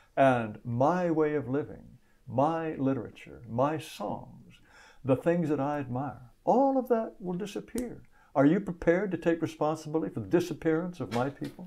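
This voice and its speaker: Over a quiet background, a man speaks with a fairly high pitch and a dark, mellow tone. His intonation is lively and his pace moderate. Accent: American. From United States. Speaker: political activist and writer. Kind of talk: debate interview.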